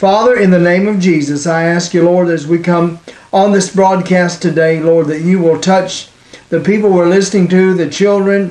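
A man with a high pitch, slightly mellow tone, and fairly even intonation, with audible room echo. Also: moderate pace.

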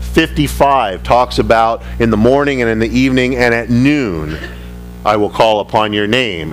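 A man talks at a fairly slow pace while music runs underneath. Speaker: pastor. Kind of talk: sermon. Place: church. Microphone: podium.

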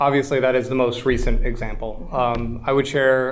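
A man's medium-pitched voice with an American accent, an unremarkable speaking voice. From US Midwest, Columbia, Missouri. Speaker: school board member. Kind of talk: candidate forum answers. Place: meeting room.

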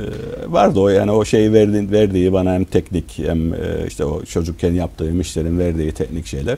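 Pitched very deep and low, a man talks at a fairly quick pace. His pitch varies in an ordinary way. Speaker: business owner; interview guest. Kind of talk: interview; interview answer. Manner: hesitant, many filler sounds. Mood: relaxed, warm storytelling. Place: studio. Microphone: lapel.

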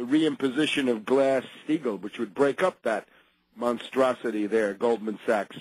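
A man's voice with ordinary pitch variation, dry with no echo, over a quiet background. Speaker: radio host. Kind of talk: political radio commentary.

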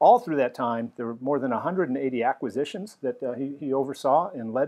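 A man at a moderate pace, with ordinary pitch variation and a quiet background. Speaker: host interviewer. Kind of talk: event host introduction. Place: home room. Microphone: lapel.

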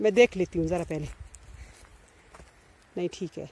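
A woman speaks at a moderate pace. Her tone is slightly mellow with a slightly husky edge. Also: fairly low pitch for a woman, ordinary pitch variation.

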